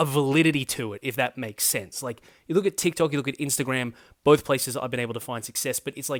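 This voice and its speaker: On a very clean recording with a silent background and a dry, close sound with no echo, a man at medium pitch speaks at a very fast pace with ordinary pitch variation. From Australia. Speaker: political commentary YouTuber. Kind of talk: casual vlog monologue. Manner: hesitant, filler-heavy.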